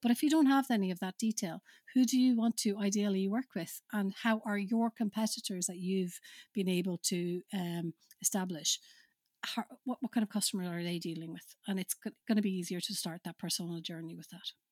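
A woman speaks at a fairly quick pace in a somewhat breathy voice of medium pitch with ordinary pitch variation. The recording is very clean with a silent background and a dry, close sound with no echo. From Finland. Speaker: marketing consultant. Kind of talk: interview.

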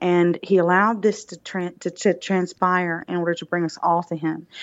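A woman speaks with a Southern US accent. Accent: southern drawl. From US South, Alabama. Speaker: recovering addict and public speaker. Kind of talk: testimony.

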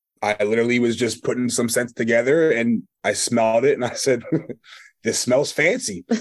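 Against a quiet background, a man with a Philadelphia accent talks at a fairly quick pace. His pitch is medium and his intonation fairly even. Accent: Philadelphia-area American. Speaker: small business owner. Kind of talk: casual interview. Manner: hesitant, many fillers.

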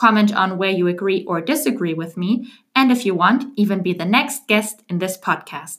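A woman with a non-native accent and a medium-pitched voice talks at a moderate pace with lively intonation and hardly any pauses. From Germany. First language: German. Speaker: book podcast host. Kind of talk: podcast intro monologue.

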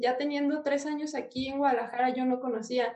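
A woman with a Mexican accent talks at a moderate pace in a high pitch. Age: 20s. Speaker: architecture student and YouTuber. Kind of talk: casual interview.

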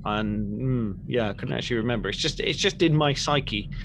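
A man with a British accent at a moderate pace, ordinary pitch variation, and noticeable background noise. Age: 30s. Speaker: podcast co-host. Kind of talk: casual chat.

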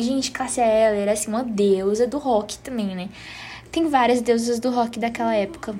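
A woman with a strong northeastern Brazilian accent speaks in an animated tone at a high pitch, with music in the background. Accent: Northeastern Brazilian, fairly strong. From Northeast Brazil. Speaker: podcast host. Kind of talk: casual chat.

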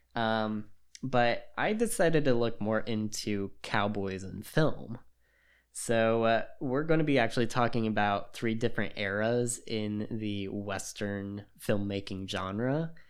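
A man with an unremarkable speaking voice, medium pitch, ordinary pitch variation, and a fairly slow pace. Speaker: podcast host. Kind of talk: casual chat.

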